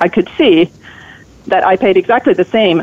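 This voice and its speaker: A woman's medium-pitched voice with a Finnish accent, at a moderate pace. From Finland. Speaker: author and journalist. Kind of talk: radio interview.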